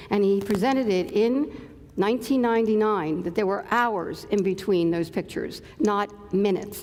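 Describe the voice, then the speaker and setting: Heard with audible room echo and noticeable background noise, a woman speaks with an American accent. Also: medium pitch for a woman, ordinary pitch variation, very even loudness. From Philadelphia, US. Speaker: physician and UFO researcher. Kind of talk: conference talk. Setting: stage with audience. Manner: fast; animated.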